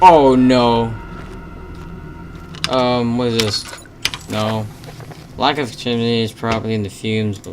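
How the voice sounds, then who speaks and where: With music in the background, the speaker moves at a fairly slow pace and leaves long, frequent pauses. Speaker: gaming video creator. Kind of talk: let's play commentary. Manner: halting, nervous filler words.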